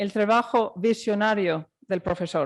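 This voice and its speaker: At a fairly slow pace, a woman talks at a medium pitch with ordinary pitch variation, the sound dry and close with no echo. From Ireland. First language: English or Irish, not Spanish (speaking Spanish). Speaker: judge. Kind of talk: formal lecture. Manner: formal.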